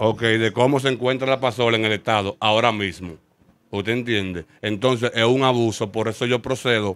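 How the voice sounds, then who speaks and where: In a Dominican accent, a man talks at a fairly quick pace with fairly even intonation, the sound dry with no echo over a quiet background. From Dominican Republic. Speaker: street clothing vendor. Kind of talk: interview testimony. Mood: aggrieved, complaining. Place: street. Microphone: handheld.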